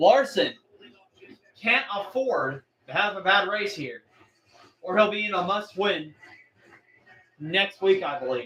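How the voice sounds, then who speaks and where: Using a raised, projected voice, a man speaks at a fairly slow pace with a high pitch, lively intonation and long, frequent pauses. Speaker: livestream race commentator. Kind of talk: live commentary. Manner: loud; animated.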